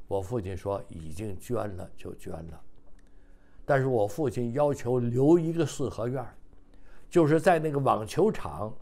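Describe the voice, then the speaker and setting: This man speaks fairly slowly in a dark, mellow tone, his pitch swinging very widely. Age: 80s+. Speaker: retired engineer, son of a general. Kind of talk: oral history interview. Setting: seniors' apartment. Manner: halting with many fillers. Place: home room. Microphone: lapel.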